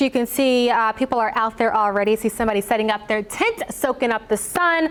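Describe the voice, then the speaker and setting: An enthusiastic, upbeat tone at a fairly quick pace over noticeable background noise. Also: woman. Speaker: TV news anchor and reporter. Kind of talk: TV news anchoring.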